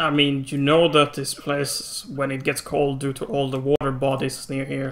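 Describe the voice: Man with a fairly bright tone and monotone, flat intonation. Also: medium pitch for a man, moderate pace.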